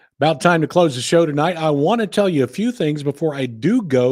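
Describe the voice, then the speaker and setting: An American man speaks at a fairly high pitch with very wide swings, recorded dry and close with no echo on a very clean track with a silent background. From California. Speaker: country music podcast host. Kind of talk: casual podcast commentary.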